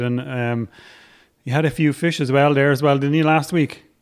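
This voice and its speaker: The speaker has an Irish accent. The intonation is fairly even. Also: man. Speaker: podcast host. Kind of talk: casual chat.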